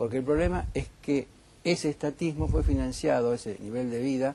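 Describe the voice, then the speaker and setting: With a plain, everyday voice, a man talks at a fairly quick pace using lively intonation. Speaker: economist. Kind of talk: heated debate.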